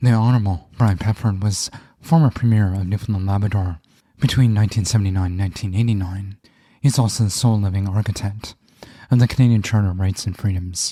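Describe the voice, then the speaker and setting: A man talks at a very fast pace in a fairly low pitch, with a dark, mellow tone. His voice is somewhat breathy and his intonation fairly even. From Canada. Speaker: podcast host. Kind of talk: scripted intro; podcast interview.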